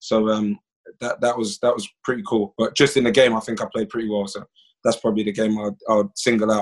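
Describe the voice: A man talks at a fairly quick pace in a fairly low pitch, with little pitch movement and a slightly husky edge.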